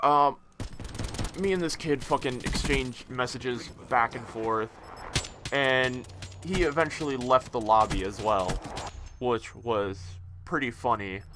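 A man talks at a fairly slow pace, leaving long, frequent pauses. Noticeable background noise sits behind his voice. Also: medium pitch for a man, ordinary pitch variation. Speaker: gaming commentator. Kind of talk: angry gaming rant, profanity-laden commentary. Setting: gameplay commentary recorded over video game. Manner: loud, exasperated, sweary, ranting.

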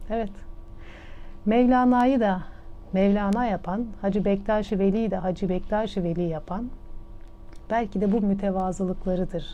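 A woman speaks at a medium pitch in a dark, mellow tone with fairly even intonation. Her pace is fairly slow, with long, frequent pauses. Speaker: radio host and storyteller. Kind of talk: radio storytelling of a moral parable.

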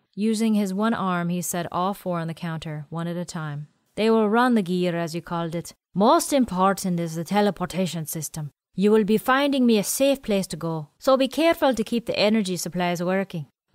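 A woman with an ordinary speaking voice talks at a fairly quick pace and medium pitch, with lively intonation. The recording is very clean, with a silent background, and the sound is dry and close with no echo. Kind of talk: audiobook narration of sci-fi fiction. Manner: measured narrator, shifts into character voices for dialogue.

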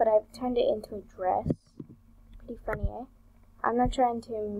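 This is a woman's voice. Its pitch shifts in an ordinary way. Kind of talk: casual talk to viewers. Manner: natural, unaltered pitch.

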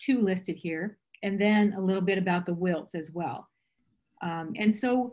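At a moderate pace, a woman speaks in a somewhat breathy voice. The background is quiet. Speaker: presenter. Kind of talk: lecture. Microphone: video call.

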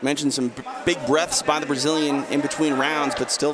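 Over loud background noise, a man speaks at a fairly quick pace in an animated, energetic tone, the sound dry with no echo. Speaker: play-by-play commentator. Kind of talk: live sports commentary. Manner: animated play-by-play, steady and energetic. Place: hall.

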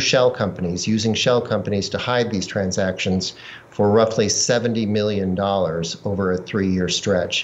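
This man talks fairly slowly at a fairly low pitch, keeping his intonation fairly even. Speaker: investigative journalist. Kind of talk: news interview. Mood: calm, serious. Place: home room. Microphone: video call.

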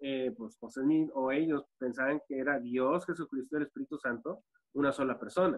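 A man at a fairly quick pace, with ordinary pitch variation, against a quiet background. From US-Mexico border, Ciudad Juárez / El Paso; US-Mexico border. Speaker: former church member; podcast guest. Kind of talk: panel discussion. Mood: friendly, smiling. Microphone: video call.

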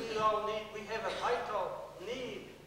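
A man's raised, projected voice amid light background noise and strong room echo. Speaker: priest. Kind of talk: sermon. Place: church.

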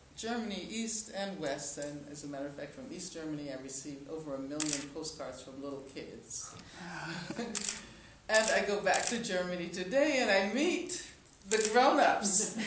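Loudness swings widely as a woman talks at a moderate pace. Room echo is audible, and background noise is noticeable. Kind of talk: press conference answer. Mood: warm, occasionally laughing. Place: hall.

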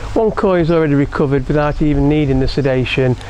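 Noticeable background noise runs under a man speaking fairly quickly, his pitch fairly high and its variation ordinary. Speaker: koi keeper and YouTuber. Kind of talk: tutorial video blog. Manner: casual, halting.

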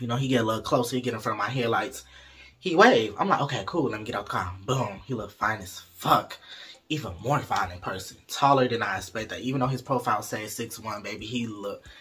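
A man races along at a very fast pace, his pitch varying in an ordinary way, with light background noise behind him. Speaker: storyteller vlogger. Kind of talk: casual vlog chat. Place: home room. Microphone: phone near.

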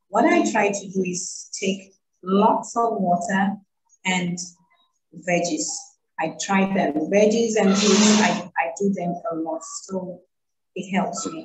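The speaker goes at a very slow pace with long, frequent pauses and ordinary pitch variation. Background noise is noticeable. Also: woman. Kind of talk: interview answer. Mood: earnest, personal. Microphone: video call.

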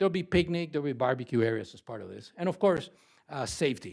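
A fairly high-pitched man at a very fast pace, with lively intonation and big swings in loudness, in a very clean recording with a silent background. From Caribbean. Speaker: housing developer presenting a bid. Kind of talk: presentation at a city council meeting.

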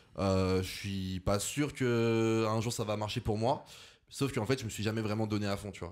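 A man has an ordinary speaking voice with a fairly low pitch. He talks at a moderate pace with fairly even intonation. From France, Lyon. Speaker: content creator. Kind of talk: casual chat.

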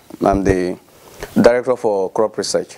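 At a moderate pace and with fairly even intonation, a man speaks in a normal speaking voice. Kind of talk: speech at handover ceremony. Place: hall. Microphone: handheld.

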